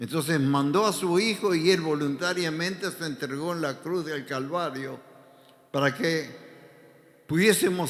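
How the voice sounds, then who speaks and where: A man speaks at a very slow pace in a fairly high pitch with lively intonation, and there's audible room echo. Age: 80s+. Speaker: pastor. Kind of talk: sermon.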